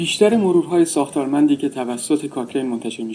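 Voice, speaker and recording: A man talks at a very fast pace. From Iran. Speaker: health researcher and associate professor. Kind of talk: scripted narration. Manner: formal.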